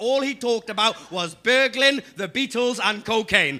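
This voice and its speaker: Over noticeable background noise, a man with a Geordie accent uses a raised, projected voice at an extremely high pitch, with ordinary pitch variation and a fairly slow pace. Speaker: comedian. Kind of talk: stand-up. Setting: stage with audience.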